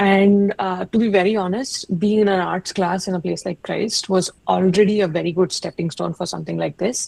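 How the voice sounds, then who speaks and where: A woman with an Indian accent speaks at a medium pitch in a dark, mellow tone, with ordinary pitch variation. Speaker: UX researcher, alumni webinar speaker. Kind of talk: webinar talk. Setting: online webinar. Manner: casual, many fillers.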